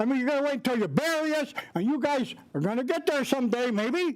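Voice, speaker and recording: Speaking at a fairly quick pace, a man with an American accent has an extremely high pitch and ordinary pitch variation. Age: 80s+. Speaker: resident speaking at public comment. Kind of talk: public comment at county meeting. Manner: animated.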